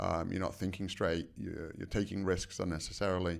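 A man's very deep, low voice in an American accent, with fairly even intonation, in a very clean recording over a silent background. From England. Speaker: martial artist and nutrition researcher. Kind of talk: interview.

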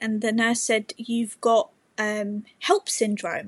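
With an English accent, a woman talks at a fairly high pitch. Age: 20s. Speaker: mother sharing birth story. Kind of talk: testimony.

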